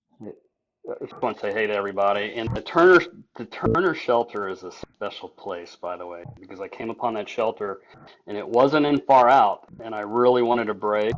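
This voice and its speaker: This is a man with an unremarkable speaking voice, talking at a moderate pace with ordinary pitch variation. His loudness swings widely. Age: 60s. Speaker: retired school teacher and thru-hiker. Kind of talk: interview.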